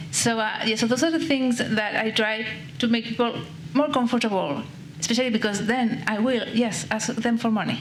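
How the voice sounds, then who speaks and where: A woman with a Spanish accent speaks at a moderate pace in a fairly high pitch, her intonation lively and her loudness very even, with audible room echo and noticeable background noise. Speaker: panelist with Parkinson's. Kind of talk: panel discussion. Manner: slight mumble.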